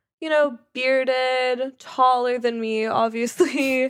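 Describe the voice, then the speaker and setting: A woman with an American accent, high pitch and very slow pace, on a very clean recording with a silent background. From Los Angeles, US. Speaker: coffee entrepreneur. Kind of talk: casual chat.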